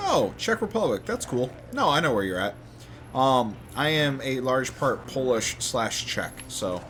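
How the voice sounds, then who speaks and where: A man at medium pitch with an American accent, lively intonation, a fairly slow pace, and noticeable background noise. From Detroit metro area, Michigan. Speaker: gaming streamer. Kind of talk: casual chat.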